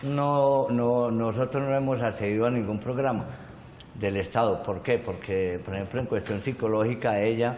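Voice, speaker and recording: Audible room echo colors a man's medium-pitched voice. He talks at a moderate pace with ordinary pitch variation. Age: 60s. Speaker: victim of violence, witness. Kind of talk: testimony. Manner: halting.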